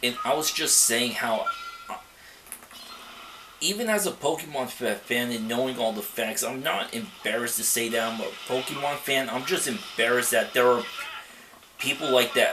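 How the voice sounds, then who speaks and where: Audible room echo and noticeable background noise surround a man who leaves long, frequent pauses. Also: medium pitch for a man, ordinary pitch variation, moderate pace. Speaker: let's play gamer. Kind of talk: gameplay commentary. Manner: soft-spoken; halting, frequent stammer.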